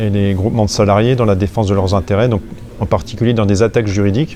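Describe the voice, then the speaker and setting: A man speaks with fairly low pitch and fairly even intonation. Noticeable background noise runs under his voice. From eastern France, Franche-Comté. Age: 40s. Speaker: whistleblower, financial investigator. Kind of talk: interview.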